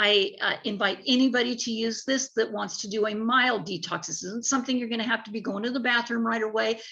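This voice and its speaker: This woman has a normal speaking voice. Her pitch sits fairly high and varies in an ordinary way. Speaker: network marketing sales rep. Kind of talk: sales pitch.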